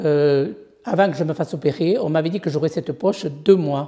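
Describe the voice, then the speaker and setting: A woman speaks with a very deep, low pitch. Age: 70s. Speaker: patient. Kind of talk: testimony. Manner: halting, many hesitations.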